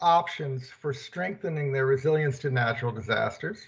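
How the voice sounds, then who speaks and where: A man speaks loudly at a moderate pace. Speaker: keynote speaker, development bank treasurer. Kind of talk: prerecorded keynote presentation. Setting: prerecorded video. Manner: trying to speak loudly.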